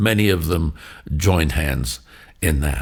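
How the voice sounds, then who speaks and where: Using lively intonation and vocal fry, a man speaks at a fairly slow pace. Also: very clean recording, silent background. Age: 80s+. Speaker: storyteller, podcast host. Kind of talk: reflective faith storytelling. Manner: warm storytelling.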